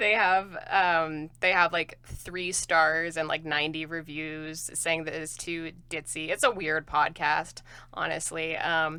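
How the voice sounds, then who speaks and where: In a very clean recording with a silent background, a woman with a fairly low pitch and a bright, sharp tone talks at a very slow pace in a monotone, flat way, with hardly any pauses. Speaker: podcast co-host. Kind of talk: casual chat.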